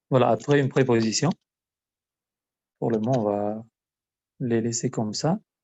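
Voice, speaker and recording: Pausing long and often, a man with an Albanian accent talks at a moderate pace and medium pitch, with ordinary pitch variation. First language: Albanian (speaking French). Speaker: language teacher. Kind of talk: lesson. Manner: hesitant, many filler sounds.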